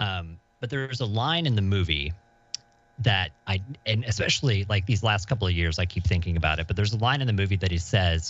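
Somewhat breathy and very deep, a man's low voice moves at a fairly quick pace with ordinary pitch variation. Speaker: podcast guest. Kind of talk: casual chat. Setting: remote call.

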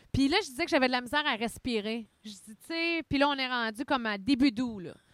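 A woman with a Quebec accent speaks in a high pitch with lively intonation. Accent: Québécois French. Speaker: podcast co-host. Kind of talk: casual chat. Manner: fast.

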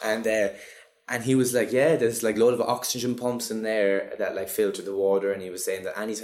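A man speaks with a Cork accent. His pace is very fast. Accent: Cork Irish. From Ireland, Cork. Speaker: actor. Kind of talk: casual interview. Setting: office.

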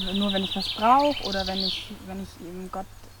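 A woman talks at a moderate pace with ordinary pitch variation. Noticeable background noise runs underneath. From Bavaria, Eichstätt district. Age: 19. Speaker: nursing trainee. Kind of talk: presenting a youth faith series.

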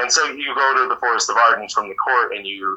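This man speaks with an American accent. His pace is fairly quick. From Yelm, Washington, US. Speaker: theater director and company founder. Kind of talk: casual interview.

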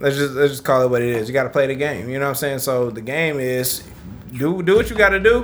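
With a fairly high pitch and ordinary pitch variation, a man talks at a very fast pace against noticeable background noise. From Detroit, US. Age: 30s. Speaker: podcast host. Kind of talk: casual chat.

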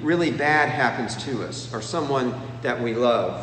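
Audible room echo and noticeable background noise surround the speech. It moves at a moderate pace, with ordinary pitch variation. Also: man. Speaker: preacher. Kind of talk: sermon. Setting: empty church auditorium.

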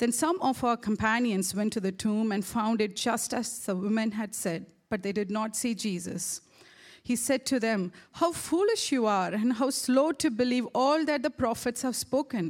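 A woman uses a normal speaking voice at a fairly high pitch, with ordinary pitch variation and a moderate pace. The recording is very clean, its background silent. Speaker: church staff member reading scripture. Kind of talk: reading aloud. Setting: church.

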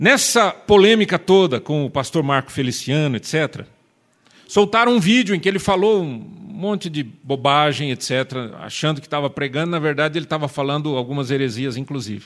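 Lively intonation from a man with fairly high pitch at a moderate pace. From Marília, São Paulo state, Brazil. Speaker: preacher. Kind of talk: sermon. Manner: animated.

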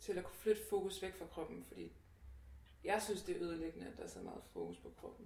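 Audible room echo surrounds a woman talking at a very fast pace. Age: 20s. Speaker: activist against body shaming. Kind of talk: casual chat.

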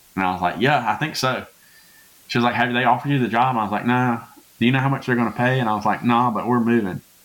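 Talking at a very fast pace, a man with a Southern US accent keeps a medium pitch and fairly even intonation. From Louisiana. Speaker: pastor. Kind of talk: casual chat.

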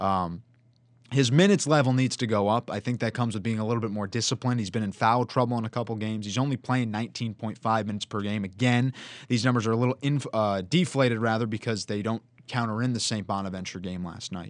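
A medium-pitched man at a very fast pace, with ordinary pitch variation against a quiet background. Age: 20s. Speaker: college student podcast host and play-by-play announcer. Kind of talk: casual sports talk. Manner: animated.

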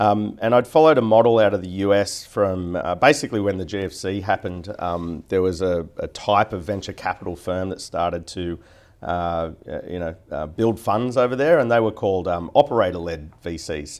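In a very clean recording with a silent background, the speaker uses an Australian accent and ordinary pitch variation. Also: man, very deep, low pitch for a man, moderate pace. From Australia, Newcastle. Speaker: venture capital investor. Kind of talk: interview. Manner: hesitant, many fillers.

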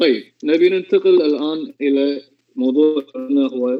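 His pitch fairly high, a man speaks with lively intonation. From Kuwait. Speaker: amateur violinist. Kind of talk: casual chat.

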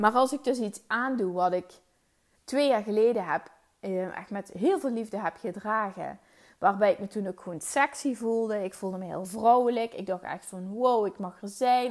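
Medium-pitched woman at a moderate pace, ordinary pitch variation, on a very clean recording with a silent background. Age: 30s. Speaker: podcast host, mindset coach. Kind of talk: solo monologue podcast. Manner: casual, hesitant with fillers.

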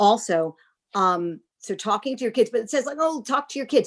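In a normal speaking voice, a woman with an American accent talks at a moderate pace, her fairly high pitch moving with lively intonation. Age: 60s. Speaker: nonprofit founder and mom. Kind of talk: casual interview chat.

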